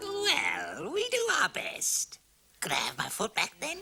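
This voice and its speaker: Someone puts on a character voice at an extremely high pitch, speaking at a fairly slow pace. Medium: short film. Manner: wry, ingratiating.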